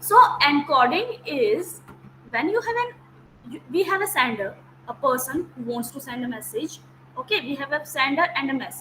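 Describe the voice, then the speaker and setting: Amid noticeable background noise, a woman with an Indian accent speaks in a raised, projected voice at a moderate pace, her high pitch swinging very widely. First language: Hindi. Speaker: teacher. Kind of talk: lecture. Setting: video call.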